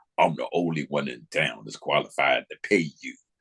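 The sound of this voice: In a dry, close recording with no echo, a man puts on a gravelly character voice with a very deep, low pitch, big swings in loudness and a moderate pace.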